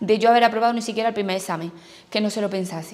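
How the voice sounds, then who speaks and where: Her pitch sits fairly high. The woman keeps a fairly even intonation. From Andalusia, Spain (Jaén); Andalusia, Spain. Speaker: newly qualified primary school teacher. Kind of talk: testimony. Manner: halting. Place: office.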